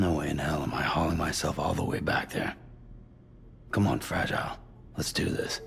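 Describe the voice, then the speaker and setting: In a raspy, put-on character voice, a man speaks at a moderate pace over clear background noise. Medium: short film. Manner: curt, gruff.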